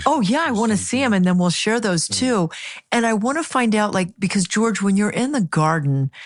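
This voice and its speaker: A woman's medium-pitched voice at a moderate pace, with very wide pitch swings, very even loudness and a quiet background. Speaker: podcast host. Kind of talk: interview questions.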